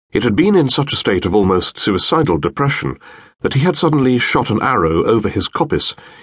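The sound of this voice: Unforced voice for reading aloud.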